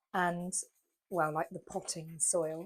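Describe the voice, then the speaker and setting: A woman with a British accent speaks at medium pitch. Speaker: vlogger. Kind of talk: casual chat.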